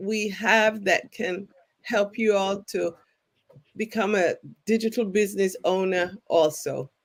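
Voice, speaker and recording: With a slight English accent, the voice moves at a very slow pace with fairly even intonation. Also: woman. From England. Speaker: retired teacher and online business mentor. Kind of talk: casual livestream chat.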